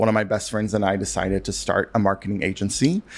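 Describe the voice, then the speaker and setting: Recorded very cleanly over a silent background, a man with an American accent and an unremarkable speaking voice talks at a fairly low pitch with fairly even intonation. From US South, western North Carolina. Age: 30s. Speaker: stationery shop owner. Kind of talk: casual interview.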